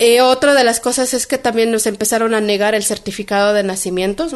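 A woman speaks in a fairly high pitch with fairly even intonation. The background is quiet. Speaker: midwife and spokeswoman. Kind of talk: interview. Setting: radio studio. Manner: hesitant, many fillers.

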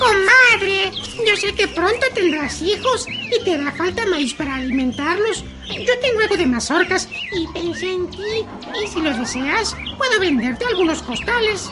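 A woman uses a put-on character voice at a moderate pace over loud background music. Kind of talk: children's radio drama. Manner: sly, flattering, coaxing.

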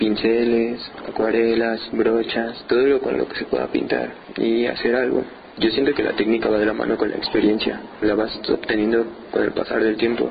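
There is noticeable background noise on this clip. Through it, a man's speech moves at a moderate pace. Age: 20s. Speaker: painter. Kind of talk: interview.

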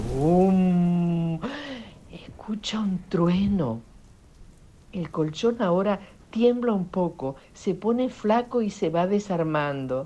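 Speaking at a very slow pace with long, frequent pauses, a woman uses lively intonation, a medium pitch and a dark, mellow tone. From Italy. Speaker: children's author and volunteer reader. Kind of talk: storytelling for children. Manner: animated.

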